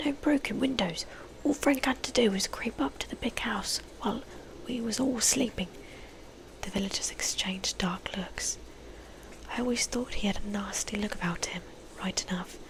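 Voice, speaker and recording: Someone whispers at a moderate pace with long, frequent pauses. Noticeable background noise runs underneath. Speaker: ASMR creator, book reader. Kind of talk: book reading aloud with character voices. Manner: soft-spoken, whispery, casual, chatty.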